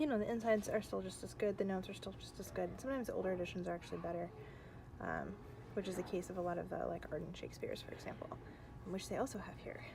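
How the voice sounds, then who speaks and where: Speaking very fast, a soft-spoken woman is heard with audible room echo. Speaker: book vlogger and grad student. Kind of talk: casual vlog. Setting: in a bookstore. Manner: casual with fillers.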